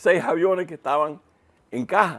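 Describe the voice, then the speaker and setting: A very clean recording of a man's voice, the background silent. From Cuba (Havana). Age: 70s. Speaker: retired military intelligence analyst, commentator. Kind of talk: TV panel discussion. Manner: animated, with false starts.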